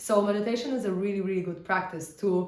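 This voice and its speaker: There is audible room echo and noticeable background noise as a woman speaks at medium pitch and a moderate pace. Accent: Polish. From Poland. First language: Polish. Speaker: spiritual teacher. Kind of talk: casual teaching talk. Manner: conversational, with fillers.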